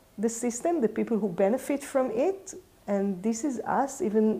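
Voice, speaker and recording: Her fairly high pitch shows ordinary variation as a woman talks fairly slowly. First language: not English. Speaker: urban ecology teacher. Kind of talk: personal talk to camera. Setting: in front of a camera. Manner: halting, many fillers.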